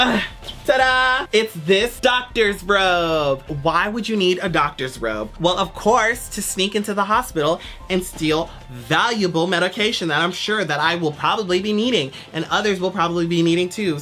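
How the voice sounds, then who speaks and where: Female speech at a moderate pace over faint background music. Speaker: vlogger. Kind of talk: comedic casual vlog chat. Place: home room. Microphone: camera far.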